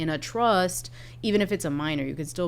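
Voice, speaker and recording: Speaking fairly quickly with vocal fry, a woman lets her pitch vary in an ordinary way. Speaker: estate planning lawyer and podcast co-host. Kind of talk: explanatory podcast conversation. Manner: fast; animated.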